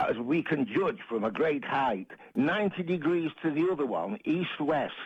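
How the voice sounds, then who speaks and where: With a Manchester accent, a man talks at a moderate pace against a quiet background, his fairly high pitch swinging very widely and edged with vocal fry. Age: 70s. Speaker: caller. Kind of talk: phone-in call.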